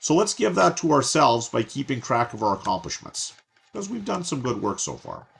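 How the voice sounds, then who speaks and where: A man speaks at a moderate pace with a medium pitch and a somewhat breathy sound. His pitch swings very widely. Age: 60s. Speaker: course instructor. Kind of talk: tutorial. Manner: casual, conversational.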